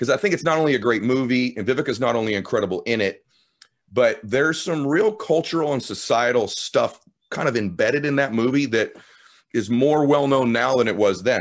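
A man with a medium pitch talks at a fairly quick pace in an energetic tone. His intonation is lively, and the background is quiet. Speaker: podcast host. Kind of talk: interview. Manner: clearly articulated.

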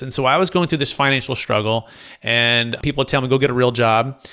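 A man with a Californian accent talks at a fairly quick pace in a medium pitch, with a bright, sharp tone and ordinary pitch variation. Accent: Californian American. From Northern California, Fremont area. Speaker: commercial real estate broker. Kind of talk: podcast interview.

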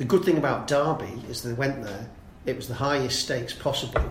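With ordinary pitch variation and a medium pitch, a man talks at a fairly quick pace amid audible room echo.

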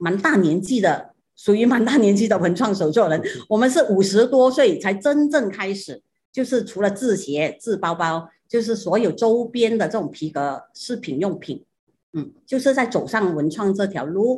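A woman speaks at a moderate pace with a medium pitch and a somewhat breathy voice. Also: lively intonation. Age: 60s. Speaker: shoemaker, business co-founder. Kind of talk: interview.

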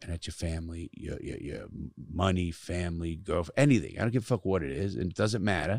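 Very deep and low, a man's voice with vocal fry and lively intonation runs at a fairly quick pace with hardly any pauses in a very clean recording with a silent background. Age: 60s. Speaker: ex-convict turned podcaster and youth speaker. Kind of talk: casual chat. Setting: studio. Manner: profane, blunt.

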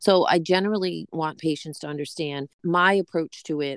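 Recorded very cleanly against a silent background, with a dry, close sound and no echo, a woman speaks at a moderate pace with a very deep, low pitch. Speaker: nurse practitioner in pain management. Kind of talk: interview.

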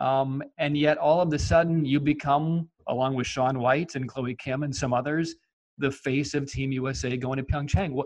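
A man with an ordinary speaking voice at a moderate pace, with fairly even intonation. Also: fairly high pitch for a man. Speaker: podcast host. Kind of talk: interview. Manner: polished.

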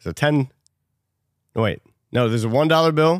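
A man talks at a very fast pace with lively intonation, in a dry, close recording with no echo, very clean and with a silent background. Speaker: podcast host and game show quizmaster. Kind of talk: casual banter, game show style.

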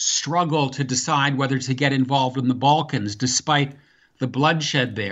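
A man with a fairly high pitch speaks at a moderate pace with fairly even intonation. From US Midwest, Wisconsin; teen years in Virginia. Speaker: author and foreign policy scholar. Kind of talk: interview. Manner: halting, frequent fillers and repeats.

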